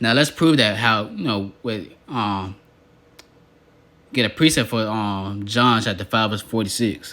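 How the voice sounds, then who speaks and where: A man speaks at a fairly slow pace and a medium pitch, with ordinary pitch variation. His tone is bright and sharp, broken by long, frequent pauses. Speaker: religious teacher. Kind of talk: bible teaching monologue. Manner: halting, stuttering.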